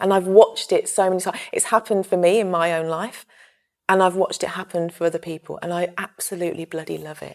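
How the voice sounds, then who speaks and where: Speaking at a fairly quick pace, a woman with a plain, everyday voice keeps her fairly low pitch in fairly even intonation. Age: 30s. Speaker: mental health campaigner and meditation teacher. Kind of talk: casual interview conversation.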